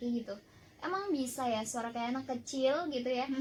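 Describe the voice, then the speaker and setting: Over noticeable background noise, a woman speaks with a high pitch. She moves at a fairly quick pace with ordinary pitch variation. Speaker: radio announcer. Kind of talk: talk show interview.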